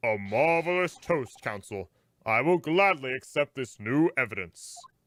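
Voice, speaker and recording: A man speaks in a put-on character voice at medium pitch. His pace is moderate. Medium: game stream. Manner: formal, measured.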